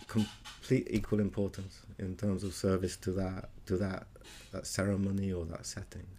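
A man with a British accent speaks in a very deep, low pitch and a dark, mellow tone. His intonation is monotone and flat at a moderate pace. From Britain. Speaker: musician and ceremony leader. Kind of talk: interview.

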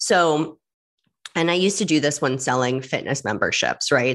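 Moderate pace in an American accent, with ordinary pitch variation and a quiet background. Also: woman. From New York. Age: 40s. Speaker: podcast host. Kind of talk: solo podcast talk. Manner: chatty.

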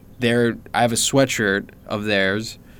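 A man talks at a medium pitch in a normal speaking voice. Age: 20s. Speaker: podcast co-host. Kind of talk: casual chat.

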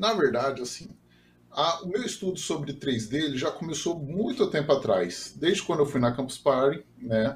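A man speaks in a plain, everyday voice at a fairly high pitch. His pace is moderate and his intonation lively. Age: 30s. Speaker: software developer and 3D printing enthusiast. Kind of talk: casual interview.

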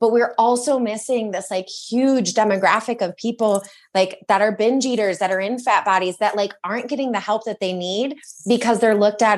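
In an American accent, a woman with an ordinary speaking voice talks at a moderate pace, her fairly high pitch held to fairly even intonation. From Michigan. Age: 30s. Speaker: eating disorder recovery coach. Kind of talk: casual chat.

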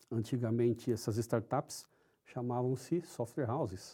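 The recording is very clean against a silent background. The speaker's tone is dark and mellow. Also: man. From São Paulo, Brazil. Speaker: IT executive. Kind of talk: interview.

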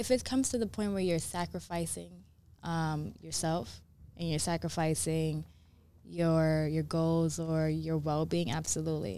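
A woman with a New York accent, very deep and low in pitch, fairly slow, with ordinary pitch variation. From US Northeast, New York City (Bronx, Brooklyn). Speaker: model, sous chef and mindfulness practitioner. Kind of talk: casual interview conversation. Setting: studio.

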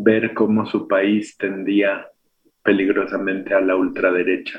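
Speaking at a very slow pace, a man has a fairly low pitch. His intonation is monotone and flat. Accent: Mexico City. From Mexico City. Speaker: radio host. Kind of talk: radio talk and poetry reading. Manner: halting, with repetitions.

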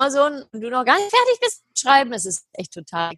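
The woman's tone is bright and sharp, her delivery moderately paced. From Germany, Heidelberg. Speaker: happiness researcher and speaker. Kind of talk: interview.

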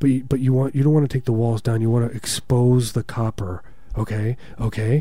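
Somewhat breathy and dark and mellow in tone, a man's medium-pitched voice moves at a fairly quick pace. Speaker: radio host. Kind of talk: casual radio banter. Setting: radio studio. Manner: joking, rambling.

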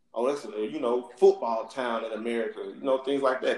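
A man with a Southern US accent. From US South. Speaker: sports podcast host. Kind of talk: casual chat.

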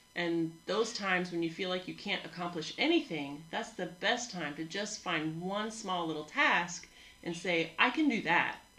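Over noticeable background noise, someone talks at a moderate pace. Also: woman. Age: older. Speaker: gym owner and fitness coach. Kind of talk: casual chat podcast.

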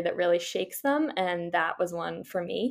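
A woman with an American accent speaks at a fairly quick pace, her medium-pitched voice moving in a lively way over a very clean recording with a silent background. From Massachusetts, US. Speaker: startup founder. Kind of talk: interview.

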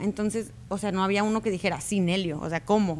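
A woman's plain, everyday voice at medium pitch with ordinary pitch variation. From Mexico, Culiacán, Sinaloa. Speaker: YouTuber, crafts and party decoration creator. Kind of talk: interview.

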